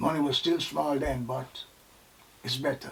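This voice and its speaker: Noticeable background noise sits under this recording. A man speaks at a medium pitch and a moderate pace, with ordinary pitch variation. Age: 70s. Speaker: army veteran. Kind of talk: personal testimony interview.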